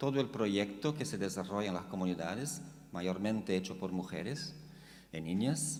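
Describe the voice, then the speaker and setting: Amid audible room echo, a man with a Portuguese accent speaks at a moderate pace with lively intonation. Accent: Portuguese-accented Spanish (portuñol). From Brazil. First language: Portuguese (speaking Spanish). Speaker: theologian. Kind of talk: lecture. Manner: halting.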